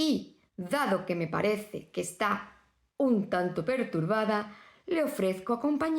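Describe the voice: The speaker is plain reading aloud with lively intonation.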